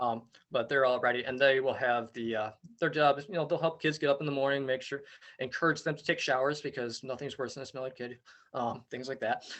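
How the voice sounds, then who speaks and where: Talking at a very fast pace, the man has a fairly high voice and fairly even intonation. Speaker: outdoor education camp coordinator. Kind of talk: parent information meeting presentation. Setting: video call.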